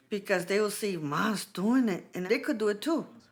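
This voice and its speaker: A woman with a non-native accent and lively intonation. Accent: foreign. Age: 40s. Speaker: program participant. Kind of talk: testimony.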